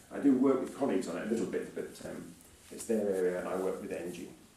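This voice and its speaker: A man speaks at a very fast pace in a fairly low pitch. Noticeable background noise and audible room echo surround him. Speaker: climate scientist, professor giving a public talk. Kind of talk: lecture. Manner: speeds up when speaking; hesitant fillers.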